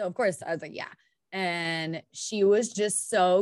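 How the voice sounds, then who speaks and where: A woman speaks in a normal speaking voice at a fairly slow pace. Her pitch varies in an ordinary way, and the background is quiet. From US Midwest, Indiana. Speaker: podcast co-host. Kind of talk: casual chat.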